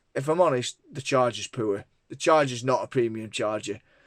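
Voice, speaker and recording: A man with a Lancashire accent, medium pitch and ordinary pitch variation, on a very clean recording with a silent background. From northern England, Lancashire. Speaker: tech reviewer. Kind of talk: product review. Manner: casual, many fillers.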